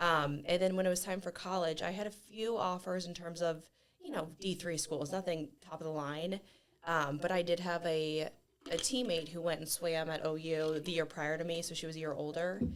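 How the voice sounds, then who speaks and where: Speaking with a Midwestern US accent, a woman uses a fairly low pitch and fairly even intonation at a moderate pace. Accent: US Midwest. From northern Ohio, US. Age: 30s. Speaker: gym member and athlete. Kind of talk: podcast interview.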